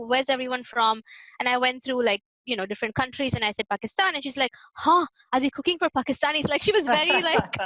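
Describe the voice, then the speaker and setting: A high-pitched woman's voice with a South Indian accent, bright and sharp in tone, lively in intonation, and dry and close with no echo. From Hyderabad, South India. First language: Telugu. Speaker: immigrant interviewee. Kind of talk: casual interview.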